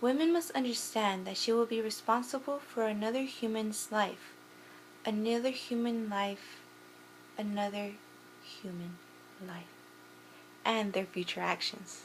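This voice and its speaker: A woman speaks at a fairly slow pace with long, frequent pauses. Her voice is somewhat breathy and fairly high, with ordinary pitch variation. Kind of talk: persuasive speech. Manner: stuttering, repeats phrases.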